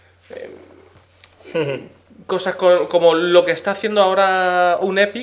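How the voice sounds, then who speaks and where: With a high pitch, a man speaks at a fairly slow pace. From Spain, with American father. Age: 20s. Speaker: games distribution content manager. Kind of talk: casual interview.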